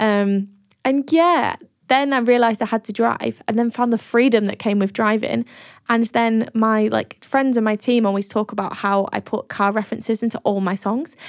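Over a very clean, silent background with a dry, close sound and no echo, a woman in a Lincolnshire accent speaks at a moderate pace, her fairly high pitch following fairly even intonation. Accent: northern English (Lincolnshire). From northern England, Grimsby. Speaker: singer-songwriter and producer. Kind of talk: casual interview chat.

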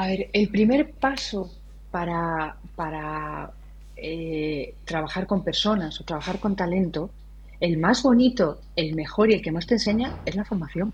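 Speaking fairly slowly with vocal fry, a woman keeps a fairly low pitch and ordinary pitch variation. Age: 40s. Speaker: designer and education entrepreneur. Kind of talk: interview.

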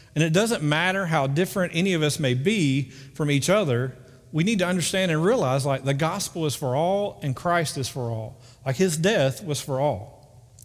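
In a north Alabama accent, a man with a fairly high pitch talks at a moderate pace with lively intonation. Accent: Southern US (north Alabama). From US South, northern Alabama (Muscle Shoals). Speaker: pastor. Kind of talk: sermon. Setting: church. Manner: casual, conversational.

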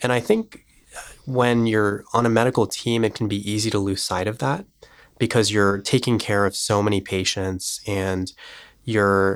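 A man with a fairly low pitch and fairly even intonation speaks in a normal speaking voice on a very clean recording with a silent background. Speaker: medical student. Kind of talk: casual interview.

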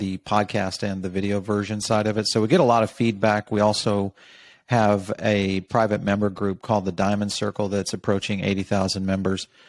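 In a normal speaking voice, a man with a fairly low pitch talks on a very clean recording with a silent background. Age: 50s. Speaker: journalist and media company CEO. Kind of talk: interview.

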